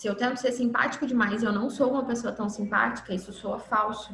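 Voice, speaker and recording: Audible room echo surrounds a woman with a Minas Gerais accent. Her pitch is fairly high, with ordinary variation. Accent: mineiro Brazilian Portuguese. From Minas Gerais, Brazil. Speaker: workshop instructor. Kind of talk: online lecture.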